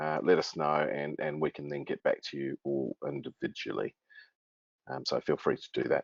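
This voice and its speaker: A New Zealand accent colors this voice. It belongs to a man. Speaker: webinar moderator. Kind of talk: webinar introduction. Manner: hesitant, many fillers.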